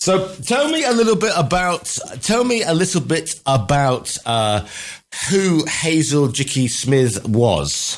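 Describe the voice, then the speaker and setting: Speaking very slowly with a British accent, this voice holds a very even loudness while its pitch swings very widely. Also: man, fairly high pitch for a man. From Britain. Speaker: radio host. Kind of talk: radio interview.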